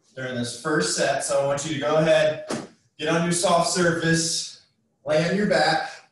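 A man speaks at a fairly slow pace with fairly even intonation. Strong room echo and light background noise are present. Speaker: fitness instructor. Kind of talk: workout tutorial instruction. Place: garage. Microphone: camera far.

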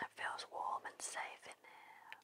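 Whispering, a woman speaks at a very slow pace. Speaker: ASMR creator. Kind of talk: ASMR relaxation talk. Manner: soft, calming, whispery. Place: studio. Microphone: studio mic.

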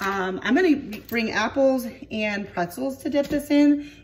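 Noticeable background noise runs under the recording. A woman is speaking. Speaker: home cooking vlogger. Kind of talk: casual vlog chat. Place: kitchen. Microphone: phone near.

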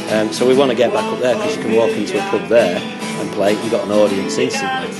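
There is music behind the speech. The man talks fairly quickly. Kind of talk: casual interview chat. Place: cafe. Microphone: phone near.

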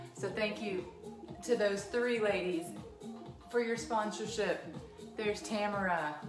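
Music plays in the background. A woman speaks at a fairly slow pace with ordinary pitch variation. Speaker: fitness instructor. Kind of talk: live class instruction and chat. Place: home room. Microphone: camera far.

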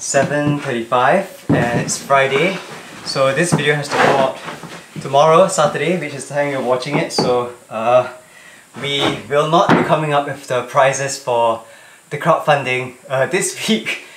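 Loud background noise sits behind a man's voice. He talks at a moderate pace with ordinary pitch variation. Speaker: vlogger. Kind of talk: casual vlog chat. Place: home room. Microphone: camera far.

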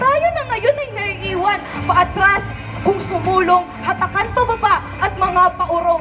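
A woman uses a raised, projected voice at an extremely high pitch with ordinary variation, speaking at a very slow pace. Faint music plays in the background. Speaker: spoken word poetry competitor. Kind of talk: spoken word poetry performance. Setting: theater stage at a festival competition. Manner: rhythmic, expressive, rhetorical delivery. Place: stage. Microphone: handheld.

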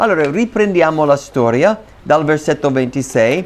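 A man speaking at a fairly slow pace with lively intonation. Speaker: pastor. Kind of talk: sermon. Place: church. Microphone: lapel.

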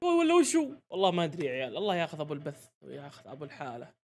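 A man speaks in an animated tone. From Saudi Arabia. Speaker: YouTuber football reaction streamer; football reaction streamer. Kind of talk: live match reaction commentary. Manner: animated, excitable. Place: home room. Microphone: studio mic.

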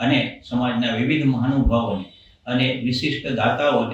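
In a room with audible echo, a man speaks at a medium pitch with fairly even intonation. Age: 60s. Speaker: doctor and temple event attendee. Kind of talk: interview. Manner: formal.

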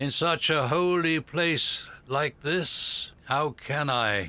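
Speaking very slowly, a man holds a fairly high pitch. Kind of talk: courtroom speech. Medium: fan dub. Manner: indignant, sanctimonious.

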